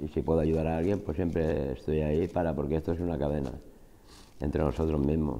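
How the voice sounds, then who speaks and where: Vocal fry runs through a dark, mellow tone delivered at a very fast pace. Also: man. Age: 40s. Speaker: job programme participant. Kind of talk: testimony; interview answer. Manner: halting. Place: classroom. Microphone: lapel.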